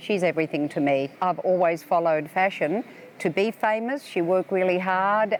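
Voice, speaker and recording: With an Australian accent, a woman speaks at a medium pitch and a moderate pace, with ordinary pitch variation. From Australia (Melbourne). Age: 70s. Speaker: tourist. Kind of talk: interview. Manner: casual with hesitations.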